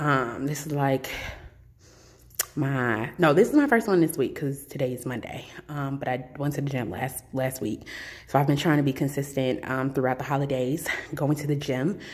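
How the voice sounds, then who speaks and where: A woman puts on a raspy character voice with a very deep, low pitch. She speaks at a moderate pace. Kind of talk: casual vlog chat. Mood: playful, upbeat.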